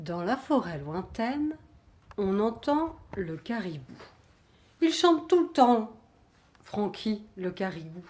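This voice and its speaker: Speaking at a very slow pace with long, frequent pauses, a woman uses a fairly high, somewhat breathy voice with very wide pitch swings. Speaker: storyteller. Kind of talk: children's story telling.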